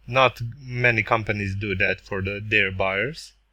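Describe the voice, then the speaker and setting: On a very clean recording with a silent background, a fairly low-pitched man with a non-native accent speaks in a bright, sharp tone with fairly even intonation. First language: not English. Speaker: tech reviewer. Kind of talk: product review tutorial. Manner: halting.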